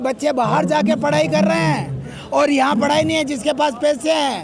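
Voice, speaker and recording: Amid crowd noise and audible room echo, the speaker's pitch swings very widely. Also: man. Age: 60s. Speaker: holy man interviewed at protest. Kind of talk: street interview. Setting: outdoors at a protest.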